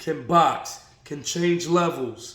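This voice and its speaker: There is audible room echo as a man speaks. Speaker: boxing commentator. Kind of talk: casual vlog commentary.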